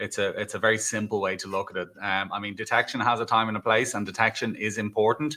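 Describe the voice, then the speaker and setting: In an Irish accent, a man speaks at a medium pitch with ordinary pitch variation. His tone is bright and sharp, on a very clean recording with a silent background. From Ireland. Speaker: cybersecurity executive. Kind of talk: interview. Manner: hesitant fillers, conversational.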